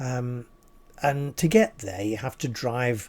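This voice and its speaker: A man speaks in a dark, mellow tone on a very clean recording with a silent background. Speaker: storyteller. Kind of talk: unscripted personal anecdote told to camera. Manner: casual, ad lib, with hesitations.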